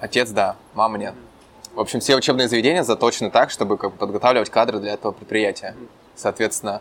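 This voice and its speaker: A man with a fairly low pitch talks at a very fast pace, his intonation fairly even while his loudness swings widely. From Russia, Urals (Chelyabinsk region). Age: 20s. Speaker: entrepreneur. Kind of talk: interview. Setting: Santa Monica, California.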